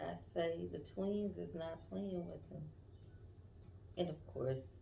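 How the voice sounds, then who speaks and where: A quiet woman's very deep, low voice, very slow, with very wide pitch swings and audible room echo. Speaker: tarot reader. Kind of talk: tarot reading livestream.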